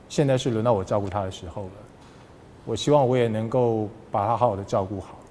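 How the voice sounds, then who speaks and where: A man talks very fast at medium pitch, with ordinary pitch variation and long, frequent pauses. His tone is dark and mellow, and the room echo is audible. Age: 50s. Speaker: sports broadcaster. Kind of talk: casual interview.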